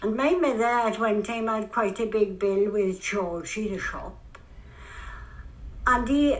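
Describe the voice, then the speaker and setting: Speaking with a South Wales accent, a woman uses a fairly high pitch at a fairly slow pace with long, frequent pauses. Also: ordinary pitch variation. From Bryn, Port Talbot, Wales. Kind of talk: interview answer.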